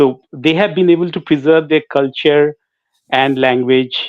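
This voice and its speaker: A man with a Bengali accent and a fairly high pitch talks at a moderate pace with fairly even intonation. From India, Jharkhand (Ranchi). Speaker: singer. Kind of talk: interview. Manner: halting.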